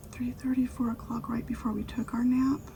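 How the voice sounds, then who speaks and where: A woman is speaking. Her voice is soft-spoken. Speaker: ASMR creator. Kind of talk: soft-spoken ASMR chat.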